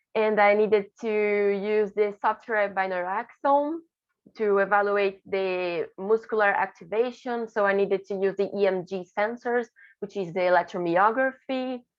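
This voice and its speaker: A woman with a Portuguese accent, medium pitch, fairly even intonation and a moderate pace. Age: 20s. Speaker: graduate student researcher. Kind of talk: conference presentation. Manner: halting, with self-corrections.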